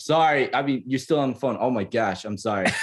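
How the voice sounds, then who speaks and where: A man speaks loudly at a very fast pace, his pitch swinging very widely. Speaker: podcast guest. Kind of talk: casual chat. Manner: halting.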